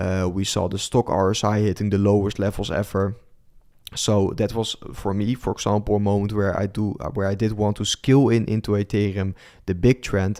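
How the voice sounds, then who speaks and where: Speaking at a fairly quick pace with a Dutch accent, this voice has a dark, mellow tone and a monotone, flat intonation, captured in a very clean recording with a silent background. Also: man, fairly low pitch for a man. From Netherlands. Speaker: crypto trader and streamer. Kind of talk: live stream market commentary with chat Q&A. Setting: live stream. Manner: hesitant, many fillers.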